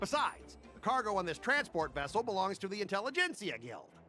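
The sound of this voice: Using a put-on character voice, a man talks at a fairly quick pace with a high pitch, big pitch swings and a bright, sharp tone over faint music in the background.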